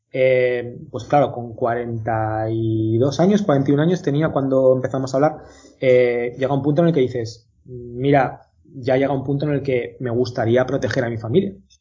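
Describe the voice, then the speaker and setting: Somewhat breathy and fairly slow, a man talks at a medium pitch with ordinary pitch variation. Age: 40s. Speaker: company founder. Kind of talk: interview.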